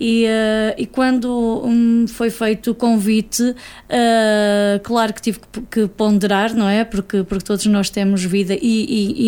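At a fairly slow pace, a woman speaks with a fairly high pitch, a dark, mellow tone and monotone, flat intonation. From Portugal, Cinfães area (Espadanedo). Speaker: association board member. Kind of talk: radio interview. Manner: halting.

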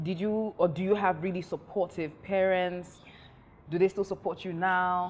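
Her pitch is medium, and this woman keeps a moderate pace. Her intonation stays monotone and flat. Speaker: talk show host. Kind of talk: casual chat. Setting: studio.

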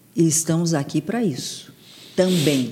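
A woman's very deep, low voice, somewhat breathy. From Santos, São Paulo state, Brazil. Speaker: TV presenter and journalist, communication coach. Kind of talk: casual chat. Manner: animated.

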